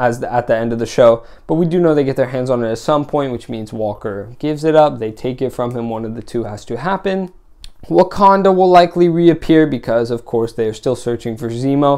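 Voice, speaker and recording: A man with a dark, mellow tone talks at a fairly quick pace with lively intonation. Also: medium pitch for a man. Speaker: TV show reviewer. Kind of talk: solo video review. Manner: fast; halting, many fillers.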